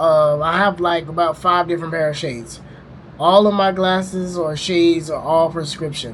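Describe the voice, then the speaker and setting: A man speaks at a high pitch with ordinary pitch variation. Background noise is noticeable. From US South, Louisiana. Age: 20s. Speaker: travel vlogger. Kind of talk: casual storytelling. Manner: casual, filler-heavy.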